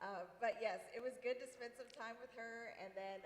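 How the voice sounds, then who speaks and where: A woman speaks at a moderate pace. Noticeable noise sits in the background. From US South, Tennessee. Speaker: TV morning show reporter and anchor. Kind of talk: interview conversation.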